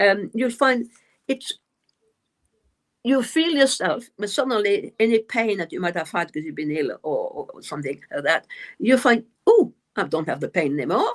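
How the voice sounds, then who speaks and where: A woman's fairly high voice with a non-native accent, vocal fry, very wide pitch swings and long, frequent pauses, on a very clean recording with a silent background. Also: moderate pace. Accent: noticeable foreign accent, self-described. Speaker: medium and author. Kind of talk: live stream interview. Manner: halting, many fillers and repeats.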